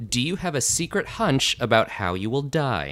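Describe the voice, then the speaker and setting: A man with an American accent speaks at a very slow pace with a bright, sharp tone and vocal fry. His pitch swings very widely in a very clean recording with a silent background. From Las Vegas, Nevada. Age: 20s. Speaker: trivia host. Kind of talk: casual chat.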